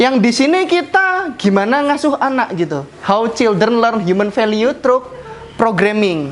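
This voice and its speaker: Someone speaks in a strong Javanese accent over noticeable background noise. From Central Java (Jepara). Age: 20s. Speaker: project manager giving internal talk. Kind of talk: casual presentation to colleagues. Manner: fast.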